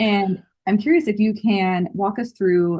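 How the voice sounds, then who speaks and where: A somewhat breathy woman with ordinary pitch variation. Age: 30s. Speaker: podcast host. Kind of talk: podcast interview.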